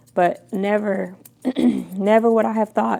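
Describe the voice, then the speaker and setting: Over noticeable background noise, a woman at a medium pitch speaks with monotone, flat intonation. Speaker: dog groomer. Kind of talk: casual chat while working.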